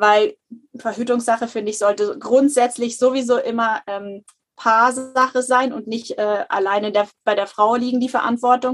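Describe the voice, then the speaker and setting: Her voice high in pitch, a woman speaks at a moderate pace with fairly even intonation. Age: 30s. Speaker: natural family planning counselor. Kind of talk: interview.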